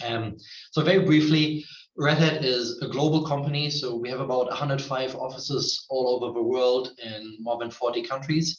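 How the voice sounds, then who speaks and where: A man speaks with a German accent at a medium pitch. His voice is somewhat breathy. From Germany. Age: 30s. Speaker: tech company representative. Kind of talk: online presentation.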